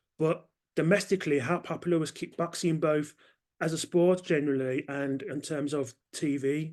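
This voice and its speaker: With a Birmingham accent, a man speaks using fairly even intonation. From Birmingham, England. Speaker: podcast host. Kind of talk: interview.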